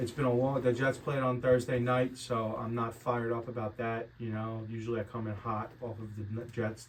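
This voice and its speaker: Over noticeable background noise, a man talks fairly quickly at medium pitch with monotone, flat intonation. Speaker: sports betting podcast host. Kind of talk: casual chat. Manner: mumbling, not enunciating.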